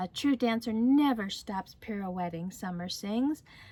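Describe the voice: The words are read aloud plainly. It is a simple reading.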